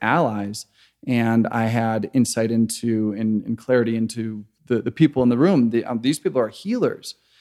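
A man with an American accent has an unremarkable speaking voice at medium pitch. He speaks at a moderate pace on a very clean recording with a silent background. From US Midwest, Chicago. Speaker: microgreens entrepreneur, former software worker. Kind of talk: casual roundtable chat.

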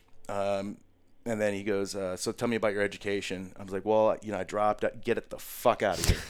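A man with an American accent talks at a very fast pace in a fairly low pitch. His intonation is monotone and flat. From US Midwest, Chicago and Wisconsin. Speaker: military veteran. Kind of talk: casual interview.

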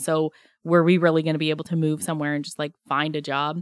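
A woman with a Canadian accent, very deep and low in pitch, talking at a very fast pace on a very clean recording with a silent background. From southern Alberta, Canada. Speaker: small business owner. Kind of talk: interview.

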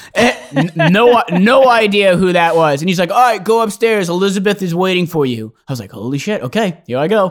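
Speaking at a fairly quick pace with hardly any pauses, a man with a high pitch uses lively intonation in an American accent. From Connecticut, US. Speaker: singer-songwriter. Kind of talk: casual interview chat. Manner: animated, storytelling.

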